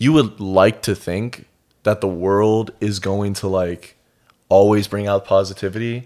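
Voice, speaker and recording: A man's fairly low, fairly even voice at a fairly slow pace, in a very clean recording with a silent background. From US Midwest, Minnesota. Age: 20s. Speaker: fitness competitor. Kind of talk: casual chat. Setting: studio. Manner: monotone.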